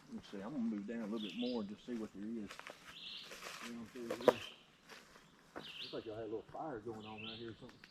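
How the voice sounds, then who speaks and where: With a North Louisiana accent, a man at medium pitch talks very fast in a monotone, flat delivery, broken by long, frequent pauses, with noticeable background noise. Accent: US Southern, North Louisiana. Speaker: preacher and fly fisherman. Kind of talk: casual chat while fishing. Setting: outdoors at a pond.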